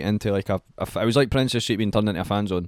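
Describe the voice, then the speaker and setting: Speaking very fast with an animated tone and a Scottish accent, a man with a fairly low pitch comes through on a very clean recording with a silent background. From Scotland. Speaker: music artist. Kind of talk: casual chat.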